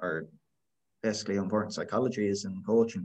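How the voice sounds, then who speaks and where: A man's voice sits fairly low, and his intonation stays fairly even. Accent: west of Ireland. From west of Ireland. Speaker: podcast host. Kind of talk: casual interview.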